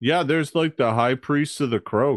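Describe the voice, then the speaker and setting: Putting on a character voice, a man drawls in a fairly high pitch with a relaxed tone against a quiet background. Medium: actual play. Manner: relaxed, drawling, says "like" and "man" constantly.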